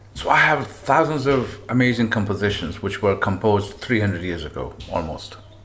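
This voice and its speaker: Against noticeable background noise, a man with a fairly low pitch talks with lively intonation and hardly any pauses. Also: moderate pace. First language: not English. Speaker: tabla player. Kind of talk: interview.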